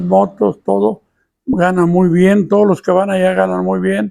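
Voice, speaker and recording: With a dark, mellow tone, the voice moves at a moderate pace through very wide pitch swings. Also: man. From Mexico. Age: 80s+. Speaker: YouTuber, elderly storyteller. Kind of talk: casual monologue to camera. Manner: plain, unadorned.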